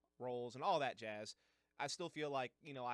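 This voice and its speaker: A man speaks at a fairly quick pace with a medium pitch and ordinary pitch variation. His is an unremarkable speaking voice. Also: dry, close sound with no echo. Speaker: esports and disc golf commentator. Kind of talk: casual talk to camera.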